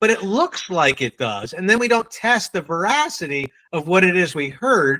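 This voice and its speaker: Speaking at a moderate pace with a New England accent, a man with a high pitch makes very wide pitch swings, heard in a dry, close sound with no echo. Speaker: sales trainer. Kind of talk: training workshop.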